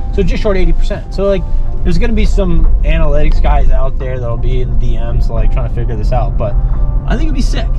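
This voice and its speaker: A man talks at a fairly quick pace. The sound is dry with no echo, and music plays clearly behind him. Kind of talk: casual banter. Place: car.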